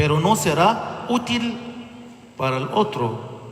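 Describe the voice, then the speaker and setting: Speaking with an Egyptian accent, a man swings his pitch very widely amid noticeable background noise and audible room echo. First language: Arabic (speaking Spanish). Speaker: bishop. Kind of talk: sermon. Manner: halting.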